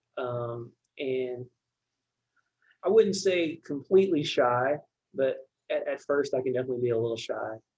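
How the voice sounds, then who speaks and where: Speaking quietly at a moderate pace, a man with a medium-pitched voice leaves long, frequent pauses. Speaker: church deacon of finance. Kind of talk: podcast interview. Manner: quiet, reserved.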